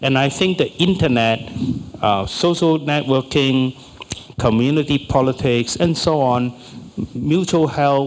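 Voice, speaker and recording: Ordinary pitch variation and a fairly slow pace in an unremarkable speaking voice. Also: man. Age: 60s. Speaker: political science professor. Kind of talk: panel discussion.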